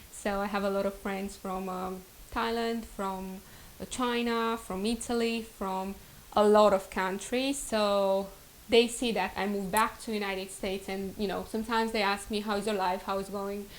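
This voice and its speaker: A woman speaks in a Romanian accent at a moderate pace. Her medium pitch stays monotone, with flat intonation. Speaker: vlogger. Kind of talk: casual vlog introduction.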